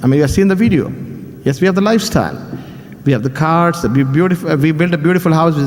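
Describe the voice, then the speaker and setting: A man with an Indian accent speaks in a high voice with lively intonation over noticeable background noise. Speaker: business speaker. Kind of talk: motivational speech.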